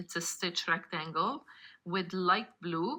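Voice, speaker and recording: A woman with a non-native accent speaks at a fairly slow pace, with a medium pitch and a bright, sharp tone, in a very clean recording with a silent background. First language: not English. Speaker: card-making crafter. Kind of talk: craft tutorial. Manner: casual, conversational.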